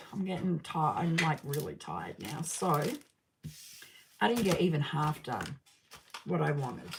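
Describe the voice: Using a raspy, hoarse put-on character voice with very deep, low pitch, a woman speaks at a moderate pace with long, frequent pauses.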